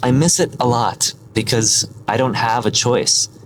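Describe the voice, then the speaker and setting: Noticeable background noise plays throughout. Over it, a man talks with an American accent. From US Midwest, rural Michigan. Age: 20s. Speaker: vlogger. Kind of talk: casual vlog monologue. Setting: in a car.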